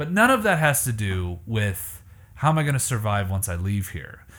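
A man with an unremarkable speaking voice talks at medium pitch and a moderate pace, his intonation lively. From Canada. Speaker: podcast host and musician. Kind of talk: casual chat.

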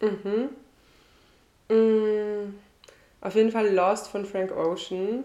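Heard with audible room echo, a woman speaks at a medium pitch in a dark, mellow tone. Her delivery is very slow and monotone, with flat intonation and long, frequent pauses. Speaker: singer. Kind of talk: casual chat. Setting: at host's home on couch.

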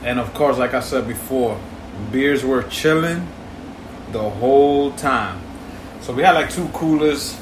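Amid noticeable background noise and audible room echo, a man with an American accent speaks at a fairly slow pace in a fairly high voice, using ordinary pitch variation and long, frequent pauses. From New York City. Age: 40s. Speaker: podcast co-host. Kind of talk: casual chat.

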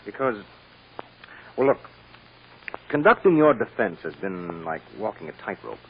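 A man puts on a character voice with a fairly low pitch and a slightly husky edge. He speaks at a fairly slow pace with big pitch swings.

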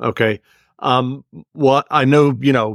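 A man's plain, everyday voice at medium pitch, very cleanly recorded against a silent background, with a dry, close sound and no echo. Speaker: podcast host. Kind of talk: casual interview.

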